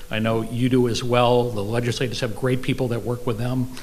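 A man talking at a fairly quick pace. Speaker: accountant and business owner. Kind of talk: brief sponsor remarks. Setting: stage with audience, microphone. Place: hall. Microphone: podium.

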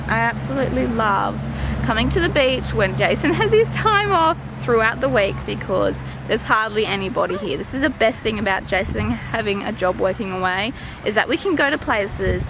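A woman at a fairly quick pace, dry and echo-free, with noticeable background noise. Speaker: family vlogger. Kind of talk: casual vlog chat. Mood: relaxed, cheerful. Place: waterside. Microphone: phone near.

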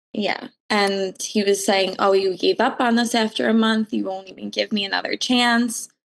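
Against a quiet background, a woman with a plain, everyday voice speaks with fairly even intonation. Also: medium pitch for a woman, moderate pace, hardly any pauses. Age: 20s. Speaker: caller. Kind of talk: advice call.

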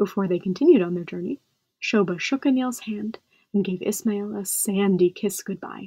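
An unforced reading voice, its pitch varying in an ordinary way, is heard against a quiet background.

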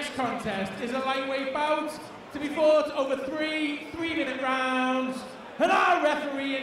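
Over noticeable background noise and strong room echo, a man talks loudly at an extremely high pitch. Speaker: ring announcer. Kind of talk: fight introductions over PA. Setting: live event arena with audience. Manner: loud, formal announcer delivery. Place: hall. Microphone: handheld.

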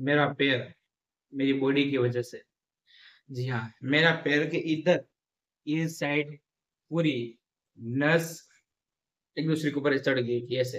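Over a quiet background, a man speaks very slowly in a monotone, flat delivery, with long, frequent pauses. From Gujarat, India. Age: 20s. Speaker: vlogger, engineering student; vlogger. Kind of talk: casual vlog to camera. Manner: mouth full while eating. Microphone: phone near.

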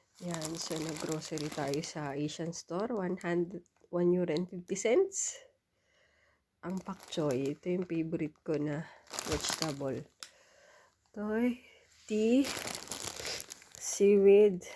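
At a very slow pace with long, frequent pauses, a woman speaks in a dark, mellow tone at a fairly low pitch with ordinary pitch variation. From Philippines. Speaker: vlogger. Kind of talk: casual vlog haul.

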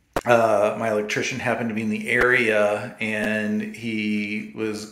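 A man speaks with audible room echo. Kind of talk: casual vlog chat. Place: bathroom. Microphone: phone near.

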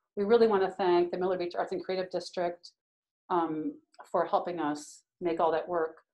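Speaking at a moderate pace with ordinary pitch variation, a woman uses a plain, everyday voice with an American accent. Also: medium pitch for a woman. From US Midwest. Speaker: painter and printmaker; instructor. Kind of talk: live demonstration stream. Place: hall. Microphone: phone near.

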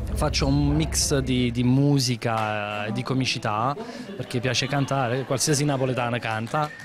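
Over clear music in the background, a man speaks with lively intonation and very even loudness, the sound dry with no echo. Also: moderate pace. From Naples, Italy; Italy. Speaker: comedian. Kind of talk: interview. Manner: animated. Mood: upbeat, animated.

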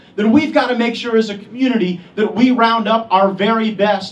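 The speaker is a man with a high voice. His pace is moderate. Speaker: politician giving endorsement. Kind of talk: campaign speech. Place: hall.

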